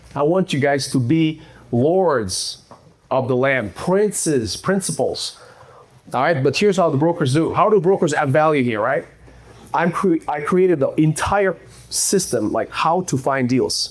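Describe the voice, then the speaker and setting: A man's fairly high voice with a non-native accent, a fairly slow pace, and lively intonation. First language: not English. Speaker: real estate investor. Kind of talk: presentation to live audience. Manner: casual, conversational.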